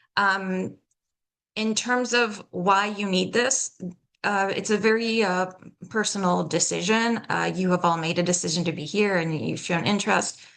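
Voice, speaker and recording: Speaking at a moderate pace with an American accent, a woman keeps a medium pitch and fairly even intonation. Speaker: accent coach and theater professional. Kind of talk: workshop lecture.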